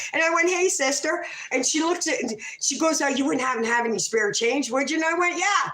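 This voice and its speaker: The voice is loud and animated, racing along at a very fast pace. Noticeable background noise runs underneath. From Canada. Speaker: livestreamer telling stories. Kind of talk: casual livestream storytelling.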